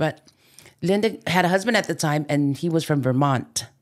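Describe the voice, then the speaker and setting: In a Hawaiian accent, a woman speaks with a very deep, low pitch. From Hawaii, Oahu west side. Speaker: podcast guest, mother. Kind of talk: casual chat. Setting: studio.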